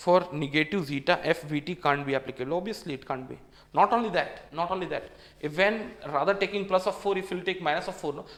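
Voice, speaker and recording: Amid noticeable background noise, a high-voiced man talks very fast with ordinary pitch variation. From India. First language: Hindi. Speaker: engineering exam tutor. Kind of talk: lecture. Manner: repetitive.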